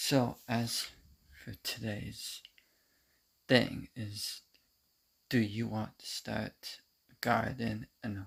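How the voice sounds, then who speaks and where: A quiet man speaks very slowly in a medium-pitched, monotone, flat voice with vocal fry. He leaves long, frequent pauses, and his loudness swings widely. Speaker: gardening livestreamer. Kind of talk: casual livestream chat. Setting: livestream at home, in the kitchen.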